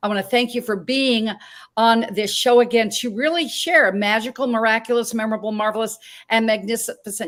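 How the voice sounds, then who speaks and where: An unremarkable speaking voice from a woman with a fairly high pitch, at a moderate pace, on a very clean recording with a silent background. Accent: American. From Montana. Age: 60s. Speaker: talk show host. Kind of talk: interview.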